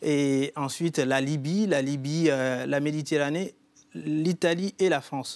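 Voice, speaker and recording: This man's pitch is fairly high, with ordinary variation. He speaks at a very slow pace. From Guinea. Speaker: poet and writer. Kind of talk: TV studio interview. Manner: hesitant, with fillers.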